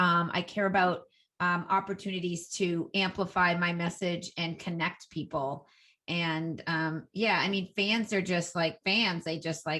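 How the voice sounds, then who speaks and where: In a very clean recording with a silent background, a woman speaks fairly slowly at a fairly low pitch, her tone bright and sharp and her intonation fairly even. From Boston area, US. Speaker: Instagram expert, entrepreneur. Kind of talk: interview.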